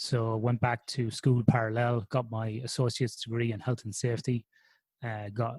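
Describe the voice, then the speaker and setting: A man's somewhat breathy, medium-pitched voice in an Irish accent, fairly quick and monotone with flat intonation, in a dry, close sound with no echo. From Ireland, Athlone in the Irish midlands. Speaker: sleep researcher. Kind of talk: podcast interview. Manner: conversational with frequent fillers.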